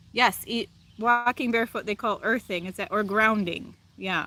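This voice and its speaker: A woman's fairly high, bright and sharp voice in a Wisconsin accent, at a moderate pace with monotone, flat intonation. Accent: Wisconsin, noticeable. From Wisconsin, US. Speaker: live streamer, spiritual chat host. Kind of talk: casual live-stream chat reading comments. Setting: outdoors, live stream.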